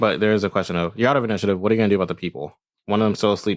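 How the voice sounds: Over a quiet background comes a natural reading voice, its intonation fairly even.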